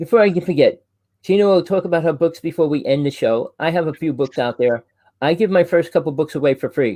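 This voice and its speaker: A man talks loudly at a very fast pace. His pitch is high, with ordinary variation. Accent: New Jersey. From New Jersey. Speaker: UFO talk show host. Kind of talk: casual chat.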